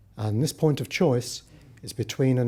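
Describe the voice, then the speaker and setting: A man speaks with lively intonation in a dark, mellow, somewhat breathy voice. The recording is very clean with a silent background. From Britain, working-class family. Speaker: Buddhist practitioner speaking at interfaith conference. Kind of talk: conference talk.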